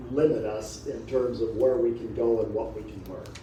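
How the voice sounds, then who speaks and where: You hear a male speaker. The room gives an audible echo, and background noise is noticeable. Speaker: adult education director. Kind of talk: panel talk.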